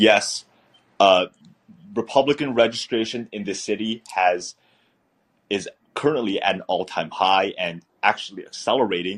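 Speaking at a moderate pace with long, frequent pauses, a man with an American accent has a fairly low pitch and ordinary pitch variation. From US West Coast (San Francisco Bay Area). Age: 20s. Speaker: congressional candidate. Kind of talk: interview.

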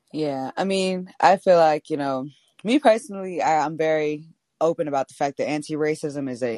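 Over music in the background, the speaker keeps a moderate pace and ordinary pitch variation in a dry, close sound with no echo. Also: woman. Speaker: political organizer. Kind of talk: casual chat. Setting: video call.

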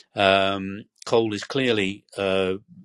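The voice comes with a British accent. The sound is dry and close, with no echo. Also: man. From Britain. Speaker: historian and energy researcher. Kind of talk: interview. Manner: hesitant, many fillers.

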